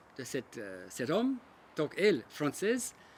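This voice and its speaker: Speaking with an Australian accent, a man makes very wide pitch swings. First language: English (speaking French). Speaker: local resident. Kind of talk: personal testimony.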